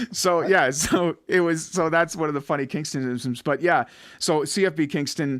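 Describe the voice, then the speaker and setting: On a very clean recording with a silent background, a man with an Ottawa Valley accent talks at a moderate pace in a fairly high pitch with fairly even intonation. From Ottawa Valley, Ontario, Canada. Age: 40s. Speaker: podcast host. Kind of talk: casual chat.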